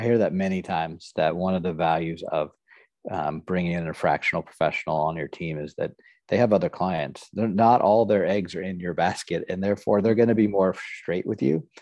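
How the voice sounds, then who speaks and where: With an American accent, the voice shows ordinary pitch variation. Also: man, very deep, low pitch for a man, quiet background. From Nebraska, US Midwest. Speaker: podcast host. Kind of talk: interview.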